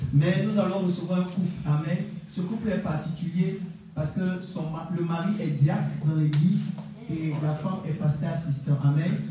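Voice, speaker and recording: Light background noise and strong room echo surround a voice with ordinary pitch variation. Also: man. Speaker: pastor hosting the service. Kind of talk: church service, announcements and blessings. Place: church. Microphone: pa.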